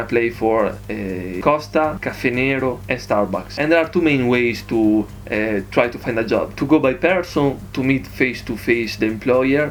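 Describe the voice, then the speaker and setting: There is noticeable background noise as a man with an Italian accent speaks at a moderate pace. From Italy. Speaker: vlogger. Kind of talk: casual vlog. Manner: halting, many fillers.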